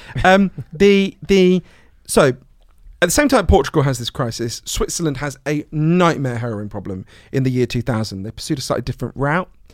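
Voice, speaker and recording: Speaking at a fairly quick pace, a man with a fairly high pitch makes very wide pitch swings. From Britain. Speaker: author and speaker on drug policy. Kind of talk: interview conversation. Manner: animated.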